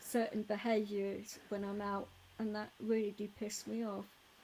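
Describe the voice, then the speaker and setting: A soft-spoken woman talks at a fairly slow pace. Her medium pitch carries a dark, mellow tone. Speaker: live streamer, DJ. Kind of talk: casual chat.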